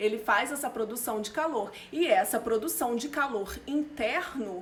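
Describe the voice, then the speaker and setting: A woman with a high voice speaks at a fairly slow pace with lively intonation. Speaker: nutritionist. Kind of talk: live stream talk. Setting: live stream.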